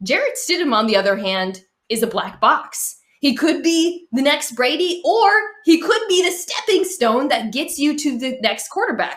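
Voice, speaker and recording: With a Boston accent, a woman speaks at a moderate pace, her high pitch swinging very widely. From Boston area. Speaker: sports talk show panelist. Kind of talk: casual sports debate.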